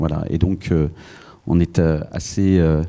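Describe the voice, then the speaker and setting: Dark and mellow in tone, a man's voice moves at a fairly slow pace with fairly even intonation. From Paris, France. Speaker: business consultant. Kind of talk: panel discussion. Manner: hesitant, many fillers.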